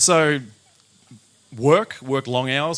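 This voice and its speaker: In an Australian accent, a man talks with fairly even intonation. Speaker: chef and food business owner. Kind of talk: talk to live audience.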